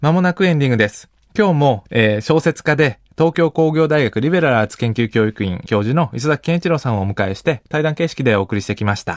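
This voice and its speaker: Against a quiet background, a man with a normal speaking voice and fairly high pitch talks at a fairly quick pace with hardly any pauses and lively intonation. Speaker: radio host and sociologist. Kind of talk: radio interview chat. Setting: studio.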